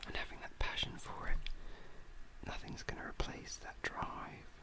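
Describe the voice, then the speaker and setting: There is noticeable background noise. Through it, a man whispers. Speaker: ASMR artist. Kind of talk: whispered ASMR chat while drawing.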